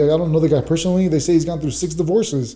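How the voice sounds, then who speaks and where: A man's dark, mellow voice with ordinary pitch variation and audible room echo. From Los Angeles, California. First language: Spanish. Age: 30s. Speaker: correctional officer and fighter. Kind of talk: casual podcast interview.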